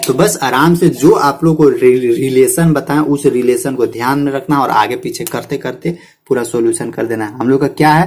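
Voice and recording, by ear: At a moderate pace, a man speaks with a slightly mellow tone. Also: medium pitch for a man, ordinary pitch variation, few pauses.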